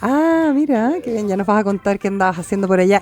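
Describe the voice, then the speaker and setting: A voice with a Chilean accent comes through noticeable background noise. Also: woman. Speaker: radio host. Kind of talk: panel discussion. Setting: radio studio.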